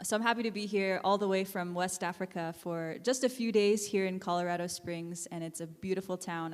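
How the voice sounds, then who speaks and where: A woman with an American accent has an unremarkable speaking voice at medium pitch. Her pace is moderate. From Alaska. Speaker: nonprofit founder and educator. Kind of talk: guest talk.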